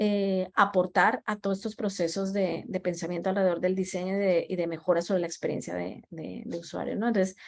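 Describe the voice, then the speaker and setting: A woman with a Colombian accent speaks at a medium pitch. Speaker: design leader. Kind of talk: talk with audience Q&A. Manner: halting with many fillers and repetitions.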